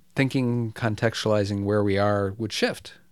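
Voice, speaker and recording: A man with a normal speaking voice and an American accent speaks at a moderate pace and a fairly low pitch on a very clean recording with a silent background. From US Midwest, Michigan (Detroit suburbs). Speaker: economic justice activist and author. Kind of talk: interview. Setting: office.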